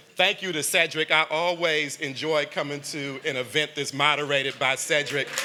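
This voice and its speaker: Noticeable background noise surrounds a man with a fairly high pitch. He keeps a moderate pace with hardly any pauses. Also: fairly even intonation. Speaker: foundation leader and funder. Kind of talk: tribute speech at a luncheon.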